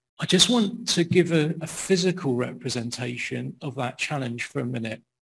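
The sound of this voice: Medium-pitched male voice, fairly bright in tone, with ordinary pitch variation, a moderate pace, vocal fry and a slightly husky edge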